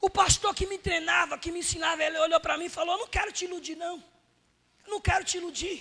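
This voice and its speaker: A man speaks in a raised, projected voice at an extremely high pitch with an animated tone. His pace is very fast. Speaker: evangelist preacher. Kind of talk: sermon.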